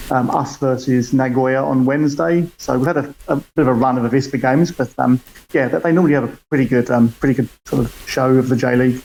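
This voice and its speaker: A man with a British accent rattles along at a very fast pace with hardly any pauses, his medium-pitched voice fairly even in intonation. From UK. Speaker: football fan. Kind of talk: casual chat. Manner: halting.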